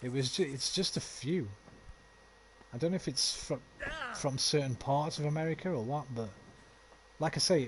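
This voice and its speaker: A man with a West Midlands accent, fairly high in pitch, at a moderate pace with ordinary pitch variation and long, frequent pauses. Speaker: video game streamer. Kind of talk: live gameplay commentary with chat. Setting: live stream.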